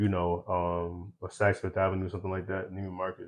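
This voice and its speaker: A man with an American accent at a moderate pace. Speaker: eyewear brand founder. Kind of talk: podcast interview. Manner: loud.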